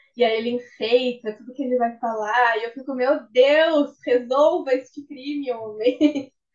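A woman with a high pitch speaks at a fairly slow pace with hardly any pauses, her intonation fairly even but her loudness swinging widely. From Rio Grande, Rio Grande do Sul, Brazil. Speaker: guest, true-crime fan. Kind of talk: casual chat.

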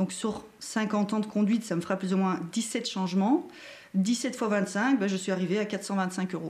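In a normal speaking voice, a woman talks at a fairly slow pace with medium pitch and ordinary pitch variation. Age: 40s. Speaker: driving instructor. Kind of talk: live-stream interview. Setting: Facebook live stream.

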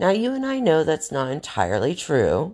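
Against a quiet background, a woman with an American accent and vocal fry speaks at a moderate pace with very wide pitch swings. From US South, North Carolina. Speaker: podcast host. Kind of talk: monologue.

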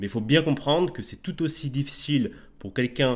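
With lively intonation, a man speaks in a plain, everyday voice at a fairly high pitch. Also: very clean recording, silent background. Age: 20s. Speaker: fitness coach. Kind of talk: podcast interview. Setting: in person, recorded while travelling.

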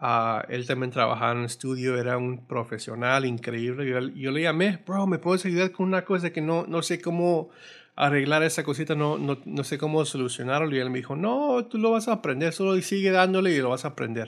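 A man speaks at a fairly quick pace with hardly any pauses. His voice is fairly high in pitch with lively intonation over a quiet background. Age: 40s. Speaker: guitarist and music producer. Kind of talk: casual interview. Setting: home studio. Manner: halting, many repetitions and fillers.

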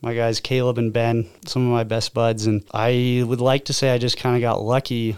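A man speaks at medium pitch with monotone, flat intonation. His moderate pace sits on a very clean recording with a silent background. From Oregon (Albany). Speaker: door-to-door sales manager. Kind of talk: casual chat.

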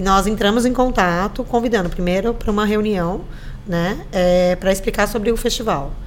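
A woman talks at a moderate pace with fairly even intonation and very even loudness, amid audible room echo and noticeable background noise. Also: medium pitch for a woman. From Brazil, São Vicente (São Paulo coast). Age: 40s. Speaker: tourism department official. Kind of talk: casual interview chat.

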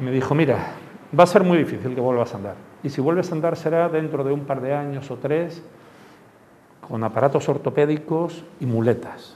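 Speaking at a moderate pace with long, frequent pauses, a man uses a fairly high pitch and ordinary pitch variation. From Andalusia, Málaga. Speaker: terrorism victim and former Civil Guard officer. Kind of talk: testimony. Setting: school classroom talk. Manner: halting.

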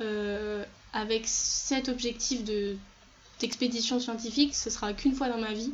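Speaking at a very slow pace, a woman uses a high pitch with monotone, flat intonation. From France. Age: 20s. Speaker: physics student. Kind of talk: interview testimony. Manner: halting.

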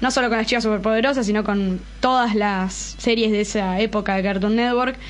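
A woman's fairly high, fairly quick voice with fairly even intonation and an Argentine accent, amid noticeable background noise and audible room echo. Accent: Argentine Spanish (Rioplatense). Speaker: YouTuber who reviews series, films and comics. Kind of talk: casual chat. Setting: studio.

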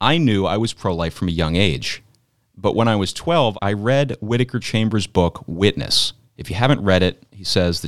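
An unforced reading voice over a quiet background

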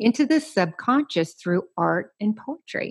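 Over a quiet background, a woman with a Southern US accent speaks fairly slowly in a fairly high, somewhat breathy voice with very wide pitch swings. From US South. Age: 50s. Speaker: podcast host. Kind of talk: casual interview.

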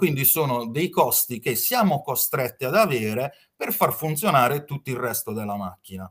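At a moderate pace, a man talks in a fairly high, somewhat breathy voice with lively intonation and big swings in loudness. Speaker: hotel finance consultant. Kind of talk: slide presentation, lecture.

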